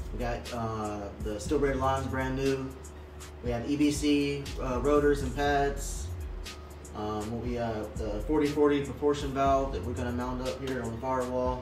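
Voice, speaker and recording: Here a man talks at a fairly slow pace. Faint music is in the background. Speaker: car mechanic channel host. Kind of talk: casual vlog chat. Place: workshop. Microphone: camera far.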